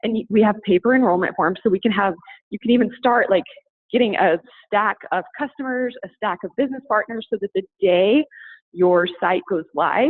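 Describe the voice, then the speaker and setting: Her pitch is fairly high. This woman's pitch moves in an ordinary way. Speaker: network marketing consultant. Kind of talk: sales pitch. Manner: fast.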